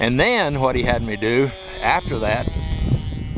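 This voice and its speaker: Noticeable background noise and audible room echo are present. A man speaks with ordinary pitch variation. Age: 70s. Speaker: hobby club president and videographer. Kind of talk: casual narration behind the camera.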